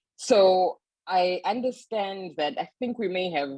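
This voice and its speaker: In a Zimbabwean accent, a woman speaks at a fairly low pitch with a dry, close sound and no echo. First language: Shona. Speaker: author and publisher. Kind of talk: panel talk.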